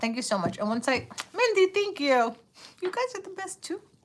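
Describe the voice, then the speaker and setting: Her tone bright and sharp, a woman with an American accent speaks at a moderate pace. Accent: noticeable accent per viewer. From New York City. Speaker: tarot reader. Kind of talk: live stream chat. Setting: live stream. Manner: animated.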